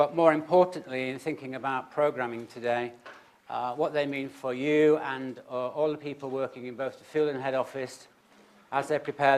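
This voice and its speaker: With a British accent, a man speaks at a medium pitch in a monotone, flat delivery. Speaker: conference chair, health policy analyst. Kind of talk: conference opening remarks. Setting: auditorium with audience. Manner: fast; hesitant, many fillers.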